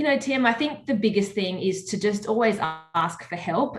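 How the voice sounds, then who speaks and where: Music plays in the background behind a woman. She has an Australian accent and keeps a moderate pace. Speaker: media personality and charity swimmer. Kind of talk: interview.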